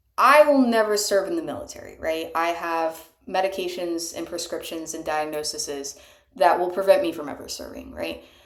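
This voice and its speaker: A woman's fairly low voice with lively intonation, big swings in loudness and a moderate pace, in audible room echo. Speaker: amateur singer. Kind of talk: casual monologue. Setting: bathtub. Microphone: cheap microphone.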